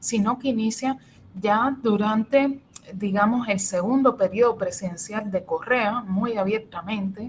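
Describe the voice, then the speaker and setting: Fairly high in pitch, a woman talks at a fairly slow pace. Her tone is animated, with ordinary pitch variation. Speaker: professor. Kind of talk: lecture.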